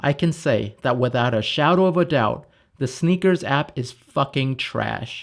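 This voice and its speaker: A man with an American accent speaks fairly slowly in a fairly high voice with vocal fry. His pitch varies in an ordinary way. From US West Coast, Los Angeles. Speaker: product manager, YouTuber. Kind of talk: scripted narration.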